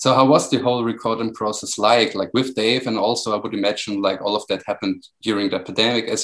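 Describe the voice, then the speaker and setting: In a German accent, a man talks at a fairly quick pace with fairly even intonation. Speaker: music magazine podcast host. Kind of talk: interview.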